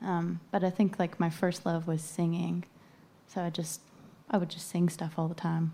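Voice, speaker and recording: Flat and monotone, a woman talks at a moderate pace in a fairly low, somewhat breathy voice with a dark, mellow tone. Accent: American. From western Virginia. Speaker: singer-songwriter. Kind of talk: casual interview. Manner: quiet, soft-spoken.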